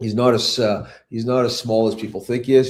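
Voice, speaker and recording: A man speaks with monotone, flat intonation. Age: 60s. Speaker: hockey coach. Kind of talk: interview. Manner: halting, many fillers.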